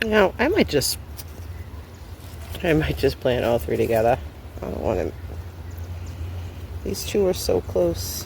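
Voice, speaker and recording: A man at a moderate pace, with long, frequent pauses and noticeable background noise. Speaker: gardening vlogger. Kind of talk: casual vlog narration. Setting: outdoors in garden.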